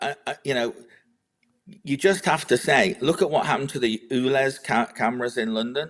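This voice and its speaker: A man with a British accent speaks at a moderate pace, with long, frequent pauses. His pitch is medium, with ordinary variation. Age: 60s. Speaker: agricultural policy adviser. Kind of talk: political discussion. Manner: animated; halting.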